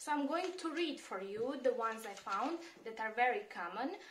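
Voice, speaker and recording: With a Serbian accent, a woman speaks in very wide pitch swings over noticeable background noise and audible room echo. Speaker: immigration and job-search advisor. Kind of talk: tutorial. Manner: hesitant, many fillers.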